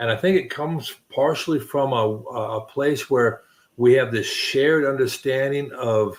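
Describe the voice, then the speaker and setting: A man talks at a moderate pace in a fairly high pitch. He uses a normal speaking voice. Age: 60s. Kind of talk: casual chat.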